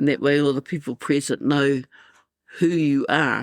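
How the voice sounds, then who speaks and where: Over a silent background in a very clean recording, a woman speaks in a very deep, low pitch with vocal fry and monotone, flat intonation. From New Zealand. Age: 60s. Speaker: elder. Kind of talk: interview.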